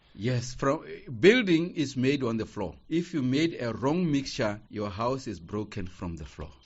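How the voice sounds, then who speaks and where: A man with vocal fry speaks at a fairly slow pace and medium pitch, making very wide pitch swings and big swings in loudness. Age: 60s. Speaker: former student, interviewee. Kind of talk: interview. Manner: halting.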